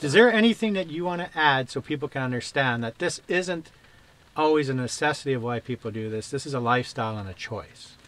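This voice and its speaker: A man's fairly high voice, very fast, with lively intonation. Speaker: vlogger interviewing a van lifer. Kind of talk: casual interview.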